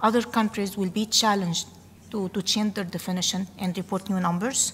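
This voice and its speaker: Fairly even intonation in a woman's somewhat breathy speech. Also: medium pitch for a woman, fairly quick pace. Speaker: government statistics delegate. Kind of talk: workshop discussion remark.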